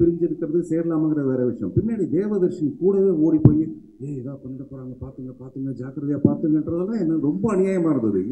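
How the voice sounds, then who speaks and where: Man with a fairly high pitch, lively intonation and big swings in loudness. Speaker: actor giving a speech at a film celebration event. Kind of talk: animated stage speech, humorous and emotional. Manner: expressive, talkative, jokey. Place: stage. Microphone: podium.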